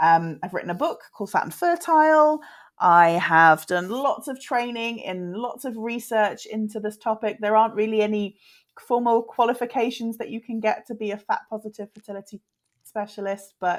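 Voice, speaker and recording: With a British accent, a woman talks at a moderate pace in a fairly high voice, her intonation lively and her loudness swinging widely. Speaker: fertility specialist and author. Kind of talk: interview.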